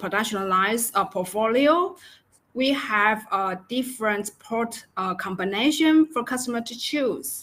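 A woman talks at a moderate pace. Her pitch variation is ordinary. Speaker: presenter. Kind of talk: webinar presentation. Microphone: webcam.

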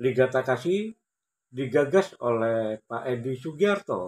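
A man at a fairly slow pace and medium pitch, with lively intonation. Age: 50s. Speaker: amateur table tennis player and YouTuber; YouTuber. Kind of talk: personal storytelling vlog. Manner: formal. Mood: calm, grateful storytelling. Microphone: phone near.

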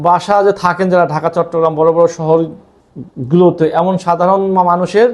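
A man talks in a high voice with fairly even intonation and very even loudness. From Bangladesh, Dhaka. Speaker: vlogger. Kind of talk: advocacy monologue.

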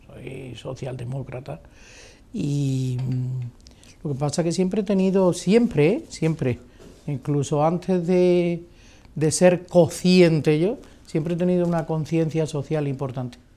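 A woman with a very deep, low pitch and ordinary pitch variation speaks at a fairly slow pace, with long, frequent pauses. Faint music plays in the background. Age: 60s. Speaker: retired politician. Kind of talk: interview. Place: hall.

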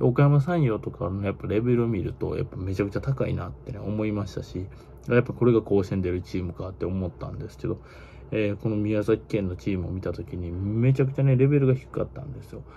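A man speaks at a very fast pace in a Kansai accent, his intonation lively. His loudness swings widely over light background noise. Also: fairly low pitch for a man. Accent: Kansai (Osaka) dialect. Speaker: baseball YouTuber. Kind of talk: casual monologue commentary. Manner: casual, filler-heavy, opinionated. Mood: tired, opinionated, blunt. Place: home room. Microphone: phone near.

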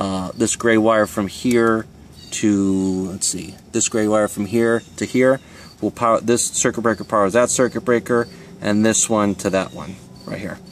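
A man at a fairly slow pace, with dry sound with no echo and light background noise. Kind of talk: tutorial. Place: garden. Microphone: phone near.

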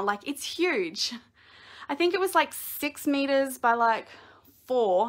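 Speaking in an Australian accent, a woman uses a high pitch with very wide swings. Her tone is bright and sharp, and the background is quiet. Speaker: crafting video creator. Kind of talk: live-streamed room tour. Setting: at home, live video. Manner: casual, many fillers. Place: home room. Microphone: phone near.

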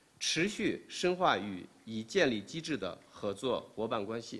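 His pitch swings very widely. The man speaks at a very slow pace. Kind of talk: official press statement. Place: hall. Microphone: podium.

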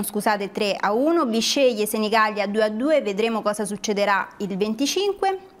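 A woman talks at a fairly slow pace in an unremarkable speaking voice, fairly high in pitch. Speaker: studio co-host. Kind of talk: reading aloud. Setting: studio. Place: studio. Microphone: lapel.

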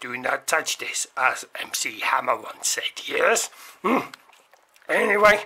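A cartoonish character voice at a fairly high pitch moves at a fairly slow pace with long, frequent pauses. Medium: puppet show. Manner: formal, pedantic, tag questions.

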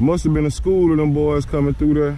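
Light background noise and a dry sound with no echo. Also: man. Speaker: fishing vlogger. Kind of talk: casual vlog chat. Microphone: phone near.

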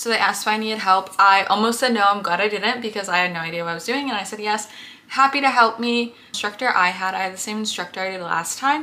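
A woman at a very fast pace with fairly even intonation. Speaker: vlogger. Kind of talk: casual vlog chat. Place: home room. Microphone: phone near.

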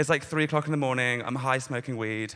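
Ordinary pitch variation marks the delivery. It comes from a man. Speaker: stand-up comedian. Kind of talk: stand-up comedy routine. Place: stage. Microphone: handheld.

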